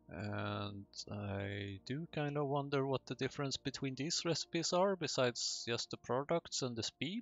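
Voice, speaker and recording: Speaking with a non-native accent, a man of medium pitch keeps a moderate pace with hardly any pauses and lively intonation. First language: not English. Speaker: gaming YouTuber. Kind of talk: let's play commentary.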